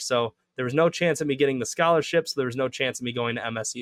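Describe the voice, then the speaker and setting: A man's medium-pitched, normal speaking voice with fairly even intonation, in a dry, close sound with no echo. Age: 20s. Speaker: father; clinical psychologist. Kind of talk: interview answer. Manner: casual, reflective.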